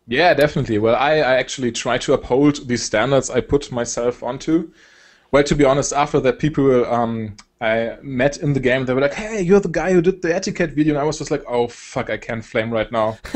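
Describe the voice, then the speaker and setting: Speaking at a fairly quick pace, a man with a German accent has a fairly high pitch and ordinary pitch variation. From Germany. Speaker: esports caster and video creator. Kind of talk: casual interview chat. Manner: hesitant, many fillers.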